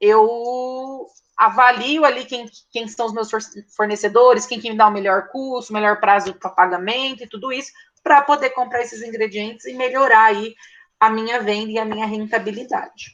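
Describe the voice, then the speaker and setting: A woman in a normal speaking voice, fairly high in pitch, talks at a moderate pace with fairly even intonation and big swings in loudness. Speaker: teacher. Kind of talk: online lecture. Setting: online class.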